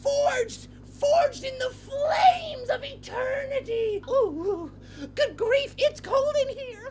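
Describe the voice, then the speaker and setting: An extremely high, put-on character voice speaks at a fairly slow pace. Background noise is clearly audible. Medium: comedy sketch. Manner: grandiose, theatrical.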